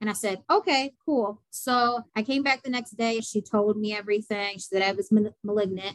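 A woman with a plain, everyday voice and fairly high pitch speaks at a moderate pace with hardly any pauses. Her pitch variation is ordinary, and the sound is dry and close with no echo. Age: 20s. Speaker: model and cancer patient. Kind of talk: interview testimony.

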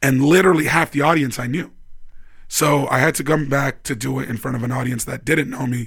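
Speaking with a Canadian accent, a man keeps a fairly quick pace, a fairly high pitch and a fairly even intonation. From Vancouver, Canada. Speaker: stand-up comedian. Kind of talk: casual chat. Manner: halting, many fillers.

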